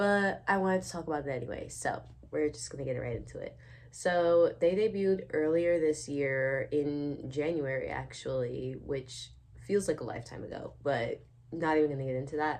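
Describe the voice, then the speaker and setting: A woman with an American accent speaks at a moderate pace in an animated tone, her loudness swinging widely. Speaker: YouTuber, K-pop commentator. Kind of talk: casual unedited rant to camera. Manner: animated, casual with many fillers.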